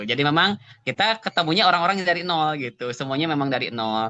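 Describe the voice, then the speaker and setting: A man talks very fast in a bright, sharp tone, with a dry, close sound with no echo and a quiet background. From West Java (Sunda), Cimahi. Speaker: Quran teacher. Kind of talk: online interview. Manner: hesitant, filler-heavy.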